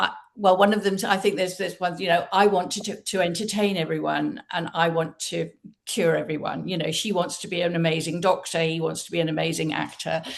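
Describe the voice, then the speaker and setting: Speaking with an English accent, a woman keeps a fairly low pitch and fairly even intonation at a fairly quick pace. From Britain. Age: 70s. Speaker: novelist and entrepreneur. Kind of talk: interview.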